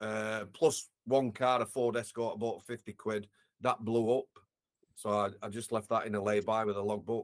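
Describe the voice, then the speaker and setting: Speaking with a Yorkshire accent, a man holds a monotone, flat intonation at medium pitch and a moderate pace, the sound dry and close with no echo. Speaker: former prison officer, care worker. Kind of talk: interview, personal storytelling.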